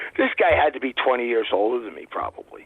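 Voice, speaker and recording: With an American accent, a man talks at a very fast pace in an animated tone with lively intonation. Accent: New York Brooklyn accent, adjustable. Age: 50s. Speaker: guest. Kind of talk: casual chat, storytelling.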